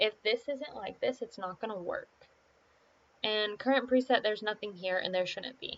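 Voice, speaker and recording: The speaker has an unremarkable speaking voice. The pace is moderate, with ordinary pitch variation. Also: woman, fairly high pitch for a woman. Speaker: gaming tutorial creator. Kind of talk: tutorial. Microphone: poor backup mic, main microphone not working.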